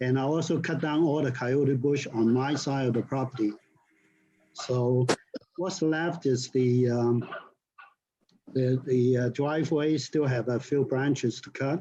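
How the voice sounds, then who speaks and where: The man's voice sits at a medium pitch with a dark, mellow tone and is somewhat breathy. His intonation is fairly even, and he leaves long, frequent pauses. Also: fairly slow pace. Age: 70s. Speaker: property owner at public meeting. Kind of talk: public comment at board meeting. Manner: halting.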